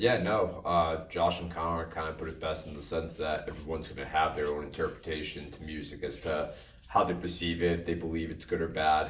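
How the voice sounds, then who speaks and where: Over noticeable background noise and audible room echo, a man with a very deep, low pitch talks in a monotone, flat intonation with hardly any pauses. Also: fairly quick pace. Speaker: podcast co-host and drummer. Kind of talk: casual chat. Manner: loud.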